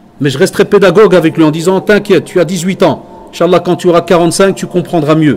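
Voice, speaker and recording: A man speaks at a fairly quick pace in a high voice. His intonation stays fairly even over noticeable background noise. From Belgium. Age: 40s. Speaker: Islamic teacher. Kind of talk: religious lecture.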